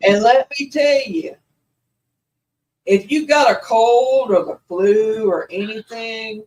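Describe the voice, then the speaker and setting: A woman with a slight Southern US accent, fairly high-pitched, at a very slow pace with long, frequent pauses and ordinary pitch variation. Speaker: paranormal channel host. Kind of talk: casual chat.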